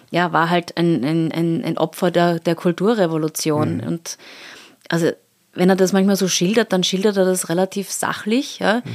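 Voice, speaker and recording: Heard dry and close with no echo, a woman with an ordinary speaking voice talks at a moderate pace and fairly low pitch, using ordinary pitch variation. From Austria, Salzburg. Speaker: art curator. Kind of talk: interview.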